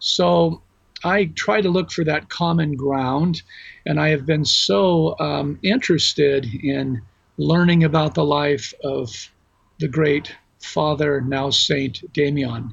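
Very slowly and somewhat breathily, a man talks at a fairly high pitch with ordinary pitch variation. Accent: American. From US West Coast, Los Angeles. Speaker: religion professor. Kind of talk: interview.

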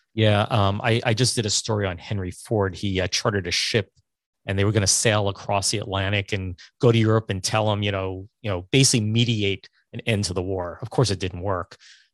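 In an ordinary speaking voice, a man speaks at a fairly quick pace and fairly low pitch, with a dry, close sound with no echo and a quiet background. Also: fairly even intonation. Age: 50s. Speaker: podcast host. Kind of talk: casual chat. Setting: video call.

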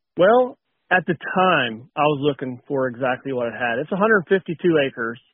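A man with an Appalachian accent, fairly high pitch, lively intonation and a fairly slow pace. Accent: Appalachian American. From West Virginia. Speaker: power plant technician and hunter. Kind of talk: casual interview chat.

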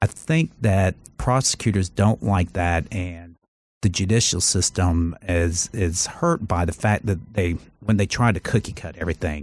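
In a very clean recording with a silent background, a man with a very deep, low voice speaks at a fairly slow pace with ordinary pitch variation. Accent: American. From US South, Charleston, South Carolina. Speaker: lawyer and former TV judge. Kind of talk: casual interview.

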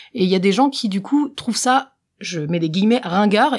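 Fairly brisk delivery, ordinary pitch variation, a plain, everyday voice. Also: woman. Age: 20s. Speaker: professional magician. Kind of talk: casual interview.

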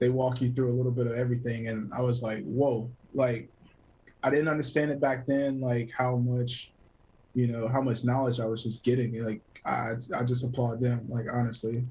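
This man's medium-pitched voice has a dark, mellow tone, a somewhat breathy quality and flat, monotone intonation at a moderate pace. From US South, South Carolina (Greer). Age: 30s. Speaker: photographer and cinematographer. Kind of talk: casual interview chat. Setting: remote call.

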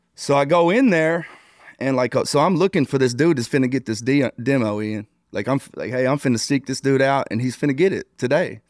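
A man with medium pitch and ordinary pitch variation talks at a fairly quick pace. The recording is very clean, with a silent background and a dry, close sound with no echo. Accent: American. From Texas, small town. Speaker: former prison gang leader. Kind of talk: casual interview. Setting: hotel room.

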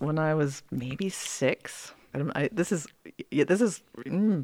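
A woman speaks in a normal speaking voice, fairly low-pitched with lively intonation, in a dry, close sound with no echo. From US, moved to Charlotte, North Carolina at ten. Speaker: visual artist. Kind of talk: interview. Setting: studio.

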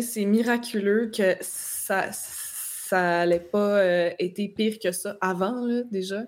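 Pitch moves with ordinary variation on a very clean recording where the background is silent. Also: woman. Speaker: political commentator. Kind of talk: casual political discussion.

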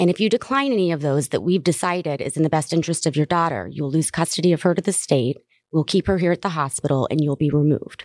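Her voice is very deep and low for a woman, with an American accent and ordinary pitch variation. She talks at a very fast pace, and the sound is dry and close with no echo. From US South. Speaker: cannabis advocate, mother of cancer patient. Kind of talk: interview. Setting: convention center.

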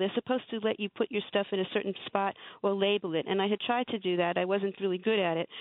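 The words come at a very fast pace. Intonation stays fairly even throughout. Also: woman. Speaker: caller. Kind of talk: casual chat. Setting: phone call.

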